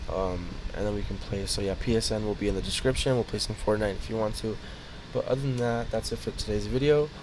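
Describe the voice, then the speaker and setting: A man speaks quietly at a very fast pace. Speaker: YouTuber. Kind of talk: casual vlog outro.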